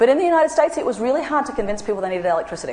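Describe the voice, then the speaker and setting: A woman with an Australian accent speaks with very wide pitch swings, with audible room echo and noticeable background noise around her. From Australia (central and northern). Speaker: anthropologist. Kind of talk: public lecture.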